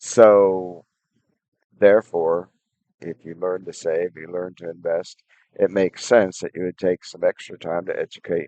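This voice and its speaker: A man speaks at a fairly slow pace. The sound is dry and close with no echo. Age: 60s. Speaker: personal finance vlogger. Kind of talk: advice monologue. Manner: halting, many fillers.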